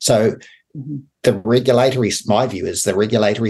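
A man speaks at a moderate pace with a New Zealand accent. His pitch is medium and his intonation fairly even. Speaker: radio host, former farm leader. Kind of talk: radio interview. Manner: halting.

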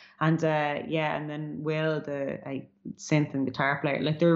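A woman speaks with a Dublin accent at a fairly slow pace. Her pitch is very deep and low, and her intonation stays fairly even. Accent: Dublin Irish. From Ireland, Dublin (Artane). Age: 30s. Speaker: musician. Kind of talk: casual music chat.

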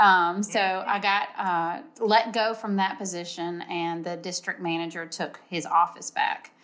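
A woman with an ordinary speaking voice talks at a fairly slow pace with hardly any pauses. Her pitch is medium and her intonation fairly even. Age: 40s. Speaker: event organizer. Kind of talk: casual chat.

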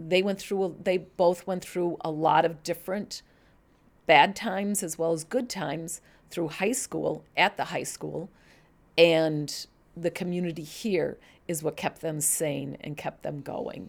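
A woman with a Chicago accent talks at a fairly slow pace with fairly even intonation. The recording is very clean, with a silent background. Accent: Chicago-area American. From US Midwest, Chicago suburbs, Illinois. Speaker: church member. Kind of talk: interview, personal story.

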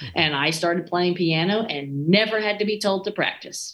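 In a plain, everyday voice, a woman speaks with an American accent at a fairly low pitch, a moderate pace and ordinary pitch variation. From US South, East Texas. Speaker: orchestra conductor. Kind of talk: casual interview.

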